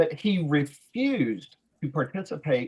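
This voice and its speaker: A man with a Southern US accent talks with lively intonation and a somewhat breathy sound. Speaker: physics instructor, presenter. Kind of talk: video call discussion. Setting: video call.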